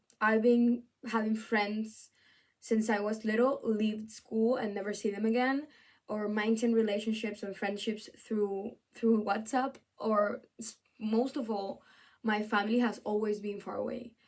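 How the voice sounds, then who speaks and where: In a Spanish accent, a woman speaks fairly high and at a fairly slow pace. Her intonation stays monotone and flat. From Venezuela, then Spain from age 13. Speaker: student. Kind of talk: video essay presentation. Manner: halting, with fillers and restarts.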